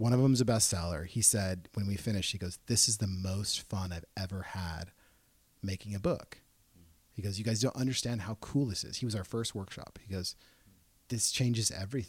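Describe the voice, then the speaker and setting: A man speaks at a fairly quick pace in a fairly low, somewhat breathy voice with ordinary pitch variation. The recording is very clean, with a silent background. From Portland, Oregon. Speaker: entrepreneur and children's book publisher. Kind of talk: casual interview.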